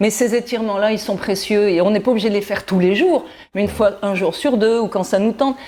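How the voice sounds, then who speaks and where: A woman's fairly high-pitched voice, an ordinary speaking voice, in a very clean recording with a silent background. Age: 60s. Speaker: wellness columnist. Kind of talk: exercise demonstration tutorial.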